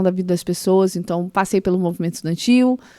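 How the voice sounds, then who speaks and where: A woman speaks at a medium pitch in a flat monotone, her voice dry and close with no echo on a very clean recording over a silent background. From Brazil, Mato Grosso do Sul. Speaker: former public official, entrepreneurship. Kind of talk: podcast interview. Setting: podcast studio.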